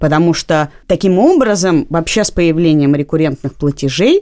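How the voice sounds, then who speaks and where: A woman speaks with a dark, mellow tone at a fairly low pitch. Her intonation is lively and her pace moderate. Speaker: podcast co-host. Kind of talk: casual conversational discussion.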